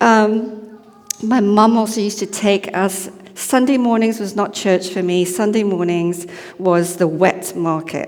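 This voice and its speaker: A medium-pitched woman at a fairly slow pace with fairly even intonation, amid audible room echo and noticeable background noise. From Malaysia. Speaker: lay preacher. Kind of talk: sermon. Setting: church service. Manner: casual, conversational.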